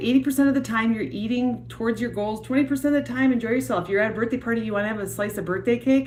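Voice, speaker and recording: A Wisconsin accent with ordinary pitch variation over noticeable background noise. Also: woman. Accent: Wisconsin accent, noticeable O vowels. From US Midwest, Wisconsin. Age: 40s. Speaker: yoga and fitness instructor. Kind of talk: live stream chat. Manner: casual, many fillers.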